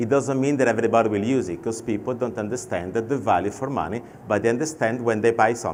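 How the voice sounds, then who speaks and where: There is audible room echo. A man talks with an Italian accent. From Italy. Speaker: fintech expert and panel moderator. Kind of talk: conference keynote talk. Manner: conversational with anecdotes.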